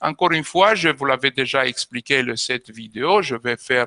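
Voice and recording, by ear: Heard in a dry, close sound with no echo, a man uses lively intonation in a bright, sharp tone at a medium pitch.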